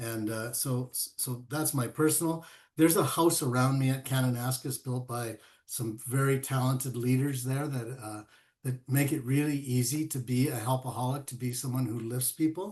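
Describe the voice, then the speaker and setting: At a moderate pace, a man with a medium pitch speaks in a somewhat breathy voice with fairly even intonation. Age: 70s. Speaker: golf course ambassador and college instructor. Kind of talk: interview conversation. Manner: halting, with many fillers and repeats.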